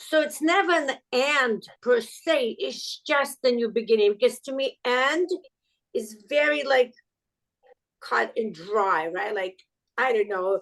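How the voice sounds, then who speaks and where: With a non-native accent, a woman speaks very slowly at a high pitch, her pitch swinging very widely. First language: not English. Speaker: podcast guest. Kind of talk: casual interview chat. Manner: halting, with many fillers.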